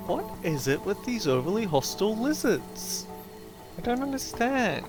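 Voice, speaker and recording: A man talks at a moderate pace over music in the background. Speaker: let's play commentator. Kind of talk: casual gameplay commentary. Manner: mumbling at times.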